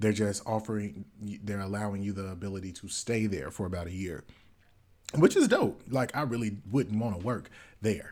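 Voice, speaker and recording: Big swings in loudness mark a man's fairly low voice, heard at a moderate pace with ordinary pitch variation on a very clean recording with a silent background. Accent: American. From US South. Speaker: podcast co-host. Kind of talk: casual chat. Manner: put-on Southern voice this episode.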